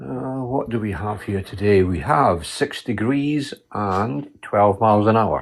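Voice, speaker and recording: At a very slow pace, a man talks in a fairly low pitch with a strong Scottish accent. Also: lively intonation. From Scotland, west coast. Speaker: radio hobbyist. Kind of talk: casual chat.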